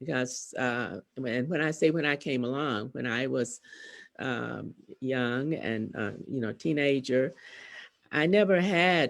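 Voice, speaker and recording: Very slowly, a woman speaks in a very deep, low voice with lively intonation. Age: 80s+. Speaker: panelist, elder. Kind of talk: online panel discussion.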